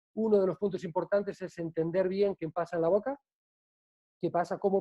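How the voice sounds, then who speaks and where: A man talking at a very fast pace. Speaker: bartending trainer. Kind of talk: online presentation. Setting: video call.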